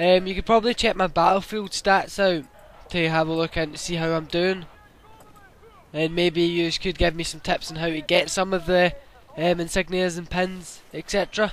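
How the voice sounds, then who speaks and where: Over noticeable background noise, a man talks at a moderate pace in a high pitch with monotone, flat intonation. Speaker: gaming YouTuber. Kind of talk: gameplay commentary. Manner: casual, hesitant with fillers.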